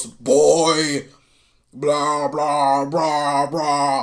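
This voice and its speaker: This is a put-on character voice at a low-to-middle pitch. Its intonation stays monotone and flat. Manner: clumsy, mocking.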